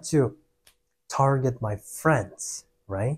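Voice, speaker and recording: A man talks at a very slow pace in a somewhat breathy voice. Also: very clean recording, silent background. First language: Russian and Kyrgyz. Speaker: vlogger, salesperson. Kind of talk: casual personal vlog.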